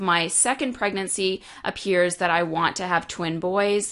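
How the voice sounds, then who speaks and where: A woman at medium pitch with a bright, sharp tone, fairly slow in pace, against a quiet background. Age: 30s. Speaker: naturopathic doctor and business coach podcast host. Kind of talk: solo podcast monologue.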